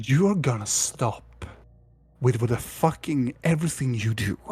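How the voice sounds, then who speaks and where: A man performs a put-on character voice at a medium pitch and a moderate pace. Hissing can be heard. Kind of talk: profane. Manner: hissing, menacing.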